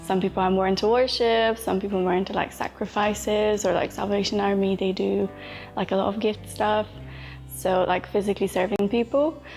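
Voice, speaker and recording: Music plays in the background as a woman speaks at medium pitch and a fairly quick pace. Her intonation is fairly even, and her loudness stays very even. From Poland, moved to England at nine. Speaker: nursing student. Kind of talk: interview testimony. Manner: casual, hesitant with many fillers.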